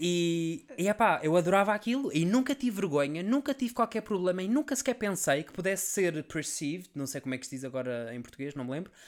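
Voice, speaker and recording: A man's high-pitched voice at a fairly quick pace, with very wide pitch swings, hardly any pauses and big jumps in loudness, on a very clean recording with a silent background. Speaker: podcast co-host. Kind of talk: casual chat. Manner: animated.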